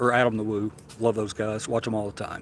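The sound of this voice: A man speaks with a southern Tennessee accent. His medium pitch stays monotone and flat.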